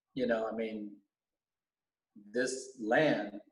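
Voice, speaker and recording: Very slow speech from a man at a medium pitch, room echo audible throughout. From US West Coast, Alhambra, California. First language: Vietnamese. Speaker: teacher, school board candidate. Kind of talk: podcast interview. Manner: halting, many fillers.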